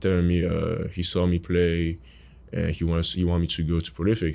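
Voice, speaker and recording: A man with a French accent, a very deep, low pitch and a moderate pace. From Cameroon. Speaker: college basketball player. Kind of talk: interview.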